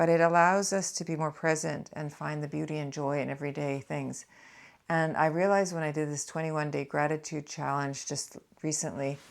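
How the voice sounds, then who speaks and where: Over a very clean recording with a silent background, a woman speaks at a fairly quick pace in a very deep, low pitch with monotone, flat intonation. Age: 60s. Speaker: midlife lifestyle vlogger. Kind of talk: casual chat reading and responding to comments. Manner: conversational, with fillers.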